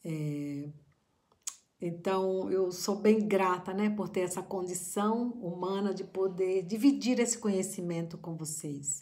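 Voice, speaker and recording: The speech moves at a fairly slow pace. Audible room echo surrounds the voice. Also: woman. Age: middle-aged. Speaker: psychologist and family constellation therapist. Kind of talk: reflective talk to camera. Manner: halting.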